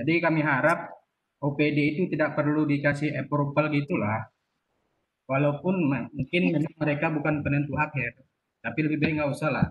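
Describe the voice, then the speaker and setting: Loudness stays very even at a moderate pace, with fairly even intonation broken by long, frequent pauses. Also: man, fairly high pitch for a man. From Aceh, Indonesia. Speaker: field family planning educator. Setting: video call. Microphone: video call.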